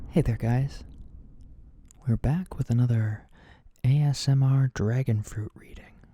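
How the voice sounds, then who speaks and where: A man of medium pitch speaks gently and somewhat breathily, his tone dark and mellow and his intonation fairly even. His fairly slow delivery has long, frequent pauses and big swings in loudness, in a dry, close sound with no echo. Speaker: oracle card reader. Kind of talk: ASMR tarot-style reading, explanatory talk to camera. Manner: soft, quiet, gentle.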